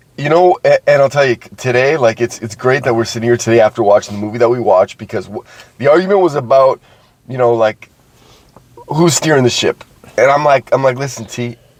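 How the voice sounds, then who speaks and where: An animated voice at a very fast pace, with ordinary pitch variation and a dry, close sound with no echo, over noticeable background noise. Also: man. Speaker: podcast co-host. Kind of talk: casual chat.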